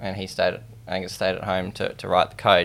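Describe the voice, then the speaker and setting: Here a man talks at a fairly quick pace with an Australian accent. His pitch is fairly low. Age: 20s. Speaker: startup founder. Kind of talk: interview.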